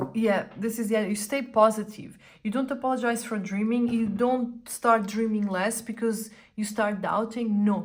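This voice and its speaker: A woman with a Portuguese accent speaks in a flat monotone. Her pitch is fairly high and her voice somewhat breathy. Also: moderate pace. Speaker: tarot reader / astrologer. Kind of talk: tarot reading. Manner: casual, conversational with fillers.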